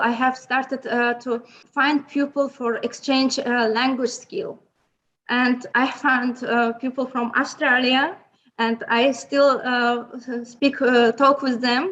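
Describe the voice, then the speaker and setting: The delivery comes at a very slow pace with monotone, flat intonation. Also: woman. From Azerbaijan. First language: Azerbaijani and Lezgi. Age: young. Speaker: remote sensing professional. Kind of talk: interview. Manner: halting, many hesitations.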